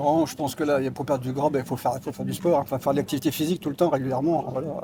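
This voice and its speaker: This man's voice sits fairly high and stays monotone and flat. He talks at a very fast pace. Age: 60s. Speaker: street interview passer-by. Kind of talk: street interview.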